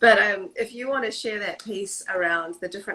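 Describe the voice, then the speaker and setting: A woman speaks with a bright, sharp tone at a fairly high pitch. Her intonation is lively and her pace fairly quick. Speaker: water researcher. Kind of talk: live stream interview.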